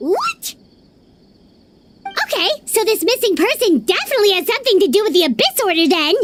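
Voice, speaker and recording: A put-on character voice at extremely high pitch, fairly quick in pace, with long, frequent pauses. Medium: video game. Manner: quick, excitable.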